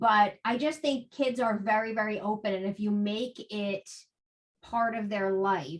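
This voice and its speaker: With a New Jersey accent, a woman speaks at a fairly slow pace, her pitch varying in an ordinary way. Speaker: author and spiritual guest. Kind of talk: podcast interview.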